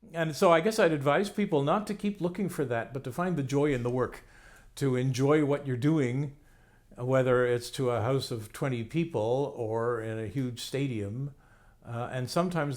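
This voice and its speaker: Recorded very cleanly against a silent background, a man with an ordinary speaking voice talks at medium pitch and a moderate pace with lively intonation. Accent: Canadian. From Canada. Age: 60s. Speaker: playwright and professor. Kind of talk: interview monologue. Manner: casual, reflective.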